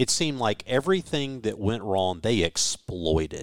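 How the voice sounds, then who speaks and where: A man with a Southern US accent and a fairly low pitch, lively intonation at a fairly slow pace, in a dry, close sound with no echo on a very clean recording with a silent background. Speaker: radio broadcaster. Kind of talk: sports commentary, analytical pitch-by-pitch breakdown.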